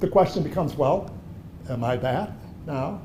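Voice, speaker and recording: The voice carries an audible room echo. Its pitch swings very widely. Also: man. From Germany, then Chicago from age seven. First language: German. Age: 70s. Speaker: artist. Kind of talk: gallery talk conversation. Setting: art gallery. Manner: conversational, with hesitations.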